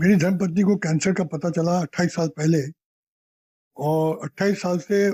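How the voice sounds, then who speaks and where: A man with a high pitch and a dark, mellow tone speaks with fairly even intonation, recorded dry and close with no echo against a very clean, silent background. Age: 70s. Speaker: cancer patient. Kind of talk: interview testimony.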